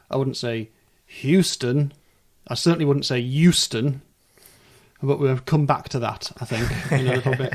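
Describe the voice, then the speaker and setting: A man with a medium pitch and a somewhat breathy voice speaks at a moderate pace. His intonation is fairly even, and he takes long, frequent pauses. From northern England. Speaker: podcast host. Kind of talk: casual chat.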